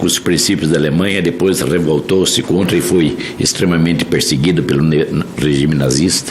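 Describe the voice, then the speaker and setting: Amid noticeable background noise and audible room echo, a man speaks with a very deep, low pitch and ordinary pitch variation. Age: 70s. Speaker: senator. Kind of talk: public hearing speech. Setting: senate hearing room. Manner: formal.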